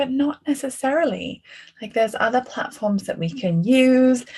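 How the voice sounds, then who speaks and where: In an English accent, a woman speaks at a high pitch and moderate pace with lively intonation. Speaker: art therapist and course teacher. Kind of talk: online class discussion. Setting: video call. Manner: casual, conversational.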